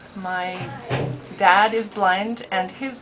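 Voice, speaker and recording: Fairly even in intonation, a woman speaks with a Canadian accent against noticeable background noise. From Alberta, Canada (farm north of Calgary); Alberta. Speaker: patient giving a testimonial. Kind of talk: testimony. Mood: warm, hopeful. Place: office.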